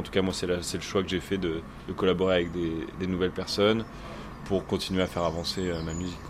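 A man speaks with a very deep, low pitch and a fairly quick pace. His intonation is monotone and flat, with noticeable background noise. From Normandy, Orne. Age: 30s. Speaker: musician. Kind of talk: interview. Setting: rehearsal venue. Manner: halting.

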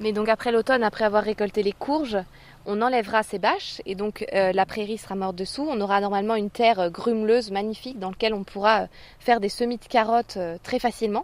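Speaking at a very fast pace, a woman has a fairly high pitch. Her intonation stays fairly even. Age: 30s. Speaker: market gardener. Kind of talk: interview.

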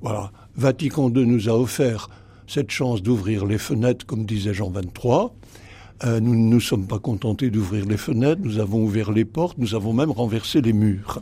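At a moderate pace, a man with a medium pitch and a dark, mellow, somewhat breathy tone talks with ordinary pitch variation on a very clean recording with a silent background. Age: 80s+. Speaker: priest and theology professor. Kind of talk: radio interview. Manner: halting, with many hesitations.

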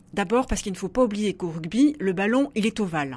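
Her medium-pitched voice is somewhat breathy, and the woman moves at a fairly quick pace with lively intonation. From southwest France, Béarn. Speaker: philosopher and author. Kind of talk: radio interview. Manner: hesitant, many fillers and repetitions.

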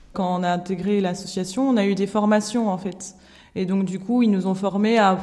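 A woman talks in a plain, everyday voice at a medium pitch. Her pace is moderate and her intonation fairly even. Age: 20s. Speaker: nurse and association volunteer. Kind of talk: recorded interview.

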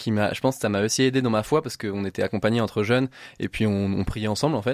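A man at a medium pitch, with ordinary pitch variation and a very fast pace. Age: 20s. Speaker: adventurer and motivational speaker. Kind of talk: radio interview. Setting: studio. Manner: halting, with repetitions.

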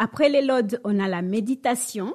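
A woman's fairly high pitch with ordinary pitch variation at a fairly slow pace. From DR Congo. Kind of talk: radio interview.

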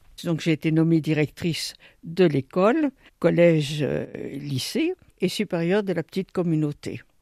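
Recorded dry and close with no echo, a woman speaks at a fairly low pitch in a dark, mellow tone. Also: ordinary pitch variation. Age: 80s+. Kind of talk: interview. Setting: retirement home. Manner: halting, repeats words.

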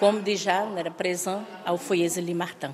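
A woman's fairly slow speech in a Portuguese accent, with noticeable background noise. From Brazil. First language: Portuguese (speaking French). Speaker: nun, guesthouse receptionist. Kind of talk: interview. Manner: halting.

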